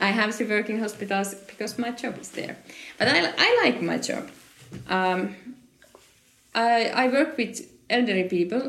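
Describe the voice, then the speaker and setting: A woman with a Finnish accent speaks at a moderate pace, her pitch fairly high and its variation ordinary. She leaves long, frequent pauses, and the room gives an audible echo. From Finland. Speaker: occupational therapist. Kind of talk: interview. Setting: conference. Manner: halting.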